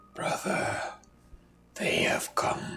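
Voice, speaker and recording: A raspy, put-on character voice. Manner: menacing.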